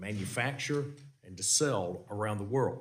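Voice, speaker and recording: Talking at a moderate pace, a man with a Southern US accent has a fairly low pitch and ordinary pitch variation. His voice is somewhat breathy. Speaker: congressman chairing a committee hearing. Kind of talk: congressional hearing questioning. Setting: committee hearing room. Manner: halting, many fillers and repeats.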